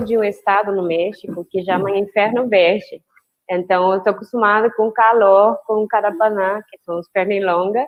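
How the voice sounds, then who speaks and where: Her medium pitch kept in fairly even intonation, a woman speaks at a fairly slow pace with big swings in loudness. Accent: Spanish. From Mexico. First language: Spanish (speaking Portuguese). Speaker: biologist. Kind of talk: casual chat.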